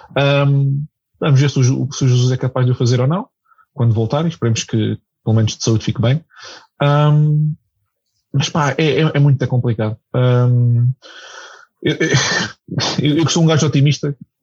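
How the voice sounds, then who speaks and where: In a dry, close recording with no echo, a man with a dark, mellow tone and medium pitch speaks fairly slowly and somewhat breathily, with fairly even intonation and long, frequent pauses. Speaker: football commentator. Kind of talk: casual chat. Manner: hesitant.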